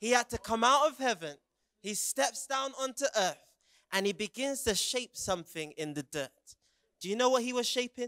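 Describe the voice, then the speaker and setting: Against a quiet background, a man with a British accent uses a raised, projected voice with an extremely high pitch, an animated tone and a bright, sharp quality. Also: lively intonation, moderate pace. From England, Jamaican heritage. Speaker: youth preacher. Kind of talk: sermon. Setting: stage with audience. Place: stage. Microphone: handheld.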